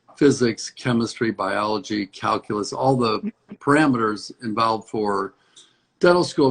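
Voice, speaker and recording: A man with an American accent talks at a moderate pace in a normal speaking voice, with ordinary pitch variation. The sound is dry and close, with no echo. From US Midwest, Hinsdale, Illinois. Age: 60s. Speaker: dentist. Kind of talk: interview.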